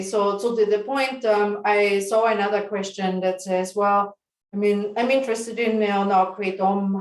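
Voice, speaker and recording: Speaking at a moderate pace, a woman keeps to a medium pitch with monotone, flat intonation. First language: German. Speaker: company CEO. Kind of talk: webinar presentation.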